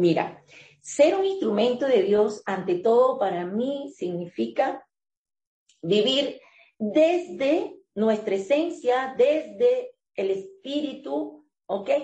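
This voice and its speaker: Speaking at a very slow pace, a woman uses a high, dark, mellow voice with very wide pitch swings. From Venezuela. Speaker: life coach. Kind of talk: interview.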